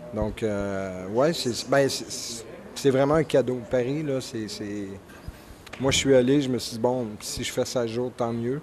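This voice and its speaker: With a Quebec accent, the speaker talks at a very slow pace with fairly even intonation over noticeable background noise. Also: man, medium pitch for a man. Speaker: stand-up comedian. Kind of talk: interview. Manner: hesitant, many fillers.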